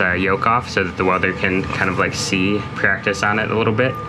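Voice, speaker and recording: Against music in the background, a man talks at a fairly quick pace with a fairly low pitch and fairly even intonation. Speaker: boat owner vlogger. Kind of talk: casual vlog chat. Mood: thoughtful, a bit worried. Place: boat. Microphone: phone near.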